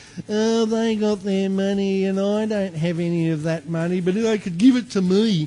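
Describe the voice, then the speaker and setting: Delivered at a moderate pace with hardly any pauses, the put-on character voice sounds whiny. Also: man, high pitch for a man. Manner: whining, mocking.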